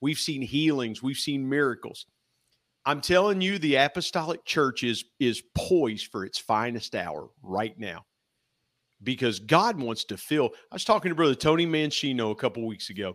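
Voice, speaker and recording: On a very clean recording with a silent background, a man with an American accent speaks at a moderate pace and medium pitch with lively intonation. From US Midwest, Ohio River valley. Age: 50s. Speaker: church elder. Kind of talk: faith testimony in casual interview.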